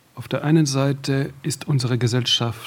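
In a French accent, a man talks at a fairly slow pace and a medium pitch. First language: French (speaking German). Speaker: radio executive, panel guest. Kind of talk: panel discussion.

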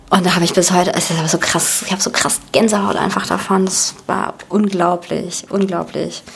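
The speech moves at a moderate pace with hardly any pauses and a monotone, flat intonation. There is noticeable background noise. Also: woman, medium pitch for a woman. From Berlin, Germany. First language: Russian (speaking German). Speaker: actress. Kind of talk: casual interview.

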